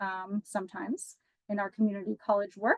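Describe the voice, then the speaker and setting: At a fairly quick pace, a woman talks in a dry, close sound with no echo. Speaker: institutional research analyst presenting a dashboard. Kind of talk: software demo presentation. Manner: fast; casual with many fillers.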